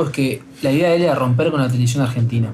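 Pitch varies in an ordinary way against noticeable background noise. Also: man. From Uruguay. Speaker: radio co-host. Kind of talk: casual chat.

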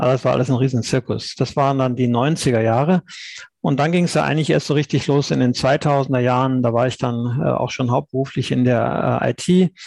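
With an unremarkable speaking voice, a man talks at a moderate pace and medium pitch, with ordinary pitch variation and very even loudness against a quiet background. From Cologne area, western Germany. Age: 50s. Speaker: blockchain insurance founder. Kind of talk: podcast interview.

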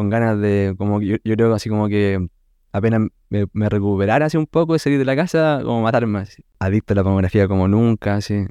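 With a Chilean accent, a man speaks at a fairly quick pace in a fairly low, dark, mellow voice with ordinary pitch variation, recorded dry and close with no echo against a quiet background. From Chile, Concepción area. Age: 30s. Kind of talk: testimony. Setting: recorded at guest's home.

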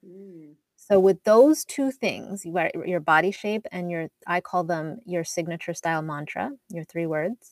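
A woman with a Canadian accent talks at a fairly slow pace and fairly low pitch in an unremarkable speaking voice, with ordinary pitch variation, big swings in loudness, and a dry, close sound with no echo. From Canada, Edmonton, Alberta. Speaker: wardrobe stylist. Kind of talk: interview.

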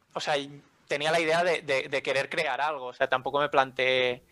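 With a bright, sharp tone, a man of medium pitch speaks at a moderate pace, the sound dry and close with no echo. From Hospitalet, Barcelona, Spain. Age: 20s. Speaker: language academy co-founder. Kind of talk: interview.

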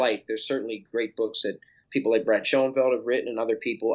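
In an unremarkable speaking voice, a man talks at a fairly quick pace with a medium pitch. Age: 30s. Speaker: personal trainer and fitness author. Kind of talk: casual interview chat.

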